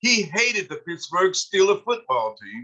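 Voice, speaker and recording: Projecting loudly at a moderate pace, a man with a high, bright and sharp voice uses lively intonation. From eastern Kentucky, Harlan County (Appalachia). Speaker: author and sociologist. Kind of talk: online history talk. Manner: halting, many filler sounds.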